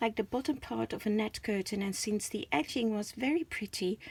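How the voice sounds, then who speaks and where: With a Dutch accent, a woman talks at a moderate pace in a somewhat breathy, fairly high voice with ordinary pitch variation. The sound is dry and close with no echo. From Netherlands. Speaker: crafter, channel owner. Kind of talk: craft show-and-tell. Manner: hesitant, many fillers.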